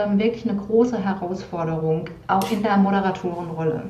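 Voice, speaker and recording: A woman at a moderate pace with ordinary pitch variation, amid noticeable background noise and audible room echo. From Palatinate, Germany. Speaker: moderator and media presence trainer. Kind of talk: casual interview chat.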